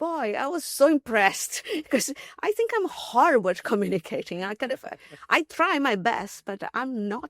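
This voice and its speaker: In a Portuguese accent, a woman speaks at a moderate pace with a high pitch and very wide pitch swings, the sound dry and close with no echo. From Brazil. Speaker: mathematician and logician. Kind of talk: podcast interview. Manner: halting, many fillers and restarts.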